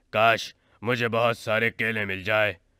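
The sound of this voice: In a cartoonish character voice, a man speaks raspy and monotone, flat at a medium pitch, on a very clean recording with a silent background.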